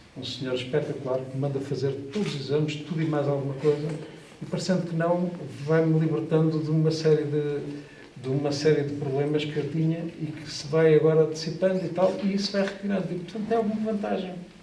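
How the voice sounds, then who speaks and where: A man talks at a fairly high pitch with ordinary pitch variation, amid audible room echo and noticeable background noise. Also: fairly quick pace. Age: 60s. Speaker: kidney dialysis patient. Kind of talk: testimony. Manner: halting.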